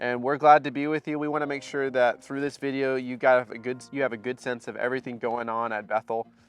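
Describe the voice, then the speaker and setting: Monotone, flat delivery at a very fast pace with hardly any pauses, over music in the background. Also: man, medium pitch for a man. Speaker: pastor. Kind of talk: church announcements video. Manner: conversational with fillers.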